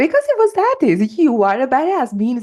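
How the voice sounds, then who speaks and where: Over noticeable background noise, a voice in a Portuguese accent moves through very wide pitch swings. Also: woman. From Portugal. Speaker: life and work coach, podcast host. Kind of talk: solo podcast monologue. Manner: energetic; halting, many fillers and restarts.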